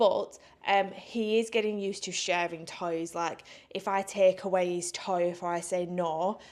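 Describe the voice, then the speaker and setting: A woman at medium pitch with an English accent, very cleanly recorded over a silent background. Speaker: vlogger. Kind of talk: casual vlog talk.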